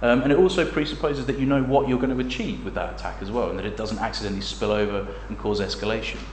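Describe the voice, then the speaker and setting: Very fast speech in an English accent, with hardly any pauses and noticeable background noise. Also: man. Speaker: academic researcher and author. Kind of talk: lecture. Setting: seminar room with audience. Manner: hesitant, many fillers.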